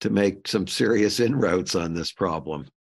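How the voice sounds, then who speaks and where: With an American accent and vocal fry, the voice carries lively intonation over a quiet background. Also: man. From US Midwest, St. Louis. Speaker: architecture firm consultant. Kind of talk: casual chat.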